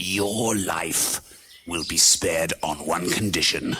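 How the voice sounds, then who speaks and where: A man's put-on character voice, growling with a very deep, low pitch at a fairly slow pace. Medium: read story. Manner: booming and stern.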